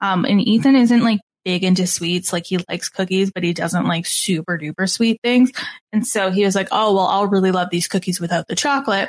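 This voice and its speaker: A woman speaks fairly quickly at a medium pitch with ordinary pitch variation. Her voice is somewhat breathy, and the sound is dry and close with no echo. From Canada. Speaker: podcast host. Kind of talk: casual chat.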